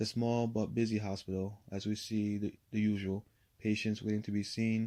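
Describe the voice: Simple, plain reading aloud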